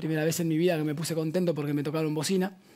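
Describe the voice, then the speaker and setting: A man with a fairly high pitch and fairly even intonation speaks in a plain, everyday voice. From La Plata, Argentina; Argentina. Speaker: band musician; guest. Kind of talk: casual chat. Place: studio. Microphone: headset.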